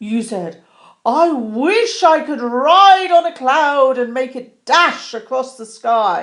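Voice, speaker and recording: In a put-on character voice, a woman with a high pitch speaks at a very slow pace with lively intonation and big swings in loudness, on a very clean recording with a silent background. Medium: read story.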